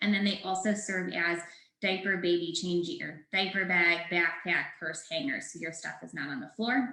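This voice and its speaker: A woman talks with a fairly low pitch and big swings in loudness. Audible room echo surrounds her voice. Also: ordinary pitch variation. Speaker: startup founder presenting product. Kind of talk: webinar presentation. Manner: fast.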